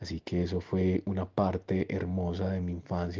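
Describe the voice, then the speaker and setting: Against a quiet background, a man with a very deep, low pitch and a dark, mellow tone speaks somewhat breathily at a fairly slow pace. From Colombia, Antioquia (Copacabana near Medellín). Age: young. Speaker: education entrepreneur. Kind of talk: interview monologue. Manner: expressive.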